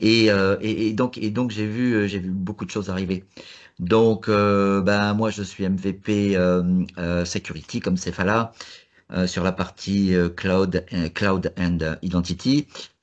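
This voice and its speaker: Over a quiet background, a man with a fairly low pitch speaks at a very slow pace with fairly even intonation. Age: 60s. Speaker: tech expert. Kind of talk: panel discussion. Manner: halting.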